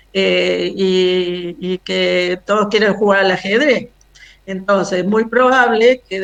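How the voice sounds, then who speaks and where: Very slow speech from a woman, medium in pitch, its pitch varying in an ordinary way. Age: 70s. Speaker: retired housing finance manager, activist. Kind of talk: video call presentation. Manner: hesitant, many fillers.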